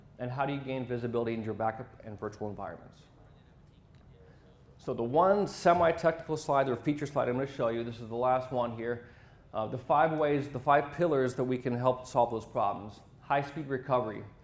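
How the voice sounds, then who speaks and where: A man speaks at a fairly quick pace. Room echo is audible in the recording. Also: medium pitch for a man, ordinary pitch variation. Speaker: sales territory manager presenting at a tech event. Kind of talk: conference presentation. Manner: fast.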